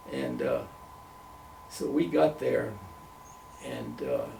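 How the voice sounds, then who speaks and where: Over noticeable background noise and audible room echo, a man speaks with an American accent. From US South. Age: 90s. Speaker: retired missionary. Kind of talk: interview.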